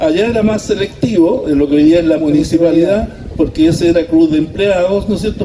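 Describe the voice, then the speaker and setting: Noticeable noise fills the background. The man's pitch varies in an ordinary way. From Chile, La Calera. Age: 60s. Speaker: former resident sharing local history. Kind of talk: community talk. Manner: hesitant, many fillers.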